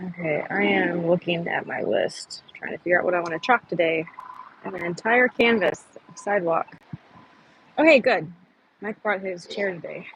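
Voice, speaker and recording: Long pauses come often in speech of moderate tempo, with noticeable noise in the background. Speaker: protester livestreamer. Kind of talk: casual chat. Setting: outdoors. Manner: soft-spoken; halting.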